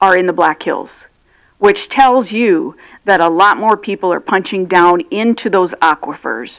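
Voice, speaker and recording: A woman's ordinary speaking voice at medium pitch, fairly slow but lively in intonation, on a very clean recording with a silent background. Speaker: regional water system representative. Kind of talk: public comment presentation. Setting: county commission meeting.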